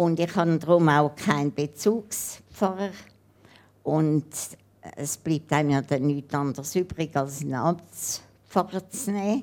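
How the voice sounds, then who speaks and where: On a very clean recording with a silent background, a woman with a very deep, low pitch talks at a very slow pace, with ordinary pitch variation and long, frequent pauses. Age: 80s+. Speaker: woman planning assisted suicide. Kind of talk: interview on stage.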